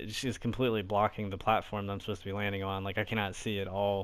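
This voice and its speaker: A man speaks quietly at a very fast pace. His pitch is fairly low and his intonation monotone and flat. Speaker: gaming YouTuber. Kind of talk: gameplay commentary. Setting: apartment. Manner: casual, filler-heavy.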